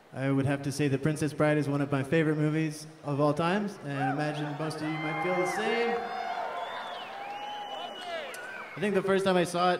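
Fairly even intonation from a man, with noticeable noise in the background. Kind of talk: stage banter. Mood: relaxed, light humor. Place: stage. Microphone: studio mic.

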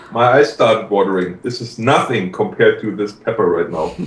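Audible room echo carries a man's fairly low voice. His pitch shows ordinary variation. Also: moderate pace.

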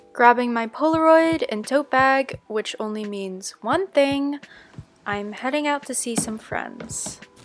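Over music in the background, a woman with an American accent speaks very slowly in a high voice with ordinary pitch variation. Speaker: vlogger, artist. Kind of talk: vlog voiceover.

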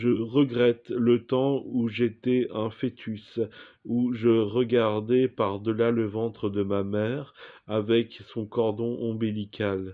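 Over a quiet background, a man talks at a very slow pace. His intonation is monotone and flat. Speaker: performer reciting poetic text. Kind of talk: surreal spoken-word poetry, read aloud as a dreamlike monologue. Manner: slow, contemplative, deliberate, with pauses between images. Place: home room. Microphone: phone near.

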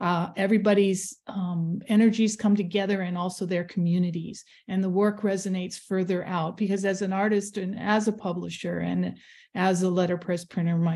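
Over a quiet background, a woman speaks in a dark, mellow, somewhat breathy tone with monotone, flat intonation. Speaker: artist and letterpress printer. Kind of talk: radio interview. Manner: halting.

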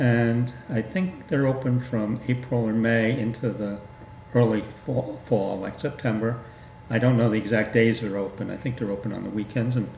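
A moderate pace and fairly even intonation, with light background noise and audible room echo. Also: man. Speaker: guest. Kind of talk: interview answer. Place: studio.

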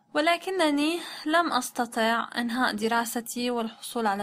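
A woman speaks at a very slow pace. Her high voice has lively intonation. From Syria, Damascus. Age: 20s. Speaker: translator and Arabic tutor. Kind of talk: language-learning self-introduction in Modern Standard Arabic. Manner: halting, with pauses.

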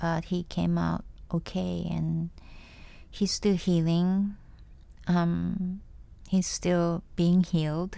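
A woman speaking at a fairly slow pace, with a Japanese accent. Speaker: singer. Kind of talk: casual chat.

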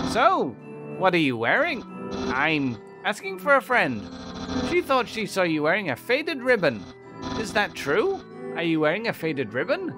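A put-on character voice sits at a middle pitch while clear music plays in the background. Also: moderate pace. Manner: theatrical, eager.

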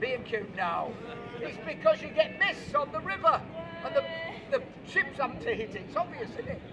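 There is noticeable background noise. A man speaks at a moderate pace. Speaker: street preacher. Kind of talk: street preaching to passers-by, quiz-style. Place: street.

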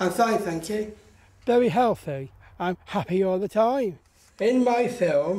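A man speaks at a high pitch and a fairly slow pace. He takes long, frequent pauses, and his pitch varies in an ordinary way. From Somerset, England. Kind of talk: interview answer. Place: garden.

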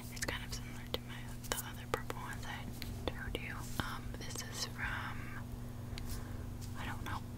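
The speech moves at a moderate pace, broken by long, frequent pauses. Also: woman. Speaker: ASMR creator. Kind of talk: ASMR show and tell, casual talk to camera. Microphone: earbuds.

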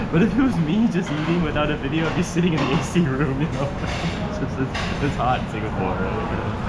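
With music in the background, a man talks at a very fast pace. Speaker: food vlogger. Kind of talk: casual vlog chat. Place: cafe. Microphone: phone near.

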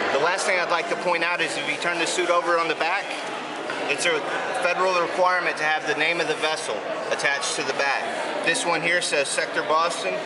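The speech comes at a very fast pace against loud background noise. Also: man. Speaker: coast guard technician demonstrating gear. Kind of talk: demonstration explanation. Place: garage. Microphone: phone near.

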